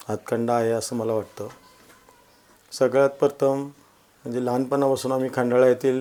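In a calm tone, a man speaks at a medium pitch with monotone, flat intonation. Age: 50s. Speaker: social worker and local election candidate. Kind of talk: interview. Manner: calm, measured.

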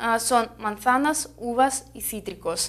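Speaking at a very slow pace, a woman with a Russian accent has a high pitch. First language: Russian (speaking Spanish). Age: 20s. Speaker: fruit importer representative. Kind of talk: interview. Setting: trade fair. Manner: halting, many fillers. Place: studio.

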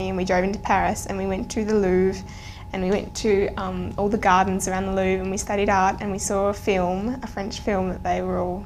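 A woman talks at a fairly quick pace with light background noise behind her. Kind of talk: interview answer. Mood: cheerful, enthusiastic. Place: studio.

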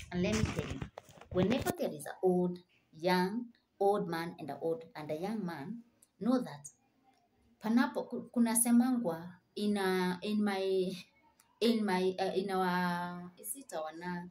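Speaking at a fairly slow pace with long, frequent pauses, a woman uses a medium pitch, ordinary pitch variation and big swings in loudness. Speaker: motivational vlogger. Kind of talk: motivational talk to camera. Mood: earnest, encouraging. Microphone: phone near.

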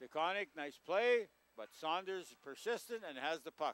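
A man's high-pitched voice has a bright, sharp tone and a dry sound with no echo. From Canada, Manitoba. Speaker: local hockey play-by-play commentator. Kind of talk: live hockey play-by-play commentary. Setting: local TV broadcast at a rink. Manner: casual, hesitant, self-correcting with frequent uhs. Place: stadium.

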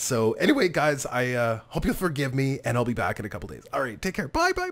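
A man talks very fast while noticeable background noise plays beneath him. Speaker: gaming streamer. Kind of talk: casual talk to camera.

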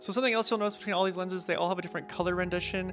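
A man with high pitch, clear music in the background. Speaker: filmmaker reviewing lenses. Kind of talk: casual review talk. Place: garden.

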